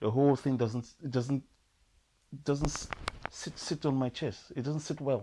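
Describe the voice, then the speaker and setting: Somewhat breathy and at a medium pitch, a man talks with fairly even intonation and long, frequent pauses. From Trinidad. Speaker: poet, producer, voice-over artist. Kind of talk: interview answer.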